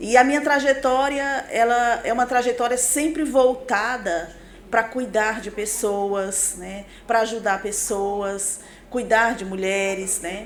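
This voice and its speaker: Speaking very slowly, a woman uses a fairly high voice with ordinary pitch variation. Her loudness swings a lot, and audible echo fills the room. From Pará, Brazil (born in Maranhão). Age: 40s. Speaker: pastor and businesswoman. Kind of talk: podcast interview, life story.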